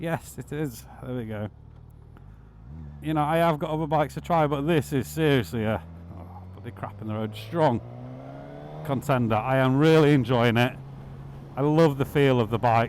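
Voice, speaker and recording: With a Yorkshire accent and lively intonation, a man talks with long, frequent pauses. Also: medium pitch for a man, moderate pace. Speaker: motorcycle vlogger. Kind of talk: casual ride vlog commentary. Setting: riding a motorbike outdoors.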